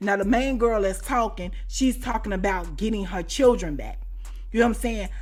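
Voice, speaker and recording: Speaking at a fairly quick pace with an American accent, a woman's fairly high voice shows ordinary pitch variation, with audible room echo and music in the background. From US Midwest, Chicago. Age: 40s. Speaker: YouTuber, storyteller. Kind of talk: storytime monologue. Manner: animated, conversational.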